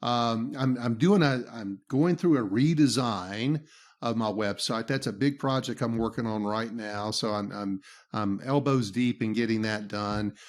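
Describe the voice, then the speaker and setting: A speaker with a Southern US accent talks at a fairly slow pace, with ordinary pitch variation. The recording is very clean, with a silent background. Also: man, medium pitch for a man. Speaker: business trainer and podcaster. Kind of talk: interview.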